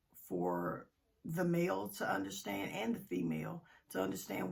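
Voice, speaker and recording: A woman's very deep, low pitch with vocal fry, very wide pitch swings and a moderate pace. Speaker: relationship advice vlogger. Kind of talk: casual vlog monologue. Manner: hesitant, many fillers.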